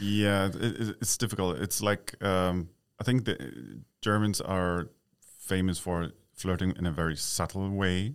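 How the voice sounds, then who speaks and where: A man with a very deep, low pitch speaks at a very slow pace with ordinary pitch variation. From East Berlin, Germany. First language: German (speaking Chinese). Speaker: expat living in Taiwan. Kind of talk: interview.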